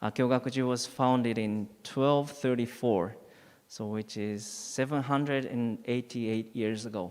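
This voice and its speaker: Speaking at a fairly slow pace, a man keeps his medium-pitched voice in fairly even intonation. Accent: Japanese. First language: Japanese. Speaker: Buddhist priest. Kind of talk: dharma talk. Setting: temple hall. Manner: halting.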